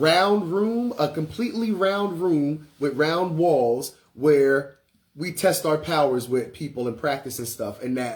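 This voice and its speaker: His voice sits fairly high for a man, with ordinary pitch variation. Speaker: spiritual teacher and livestreamer. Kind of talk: casual livestream chat. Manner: naturally loud; casual, filler-heavy.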